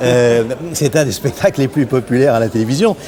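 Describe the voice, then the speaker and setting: A man speaks in an animated tone. Noticeable background noise runs underneath. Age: 60s. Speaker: film director. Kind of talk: casual chat. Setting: studio. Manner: halting.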